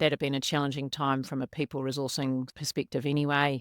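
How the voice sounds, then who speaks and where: A woman speaks at a moderate pace in a very deep, low pitch. The recording is very clean with a silent background and a dry, close sound with no echo. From New Zealand. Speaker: corporate people and culture director. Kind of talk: podcast interview.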